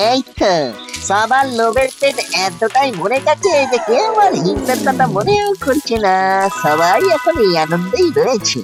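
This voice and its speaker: At a moderate pace, a cartoonish character voice sits at a fairly high pitch with very wide pitch swings while clear music plays in the background. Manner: chatty, slangy, joking.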